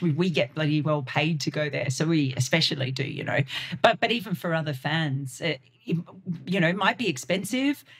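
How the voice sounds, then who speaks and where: Speaking with an Australian accent, a woman uses a very deep, low pitch and ordinary pitch variation at a fairly quick pace. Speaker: cricket journalist. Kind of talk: podcast interview.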